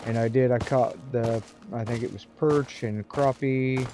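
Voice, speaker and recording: A man at a medium pitch with fairly even intonation, speaking at a fairly slow pace over noticeable background noise. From US Midwest, rural. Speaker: gaming streamer. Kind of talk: live gameplay commentary. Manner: casual, rambling with fillers.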